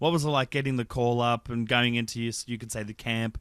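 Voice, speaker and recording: A man with an Australian accent talks at a fairly quick pace, at a medium pitch and with fairly even intonation. The recording is very clean, dry and close, with a silent background and no echo. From New South Wales, Australia. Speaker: podcast host. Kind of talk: interview.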